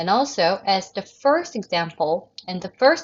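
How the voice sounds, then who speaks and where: Speaking at a very slow pace, a woman uses lively intonation at a medium pitch. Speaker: English writing teacher. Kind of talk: recorded video lecture. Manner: halting, self-correcting.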